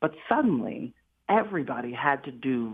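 Speaking with an American accent, a woman has a very deep, low pitch and lively intonation. Her pace is moderate. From United States. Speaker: political commentator and policy expert. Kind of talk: radio interview.

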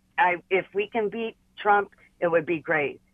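This woman talks at a fairly slow pace with an American accent. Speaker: caller. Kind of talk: call-in comment. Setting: phone call.

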